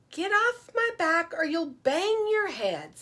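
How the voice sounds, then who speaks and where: A woman puts on a squeaky character voice, extremely high in pitch. She speaks at a fairly slow pace. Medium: read story. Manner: friendly, playful.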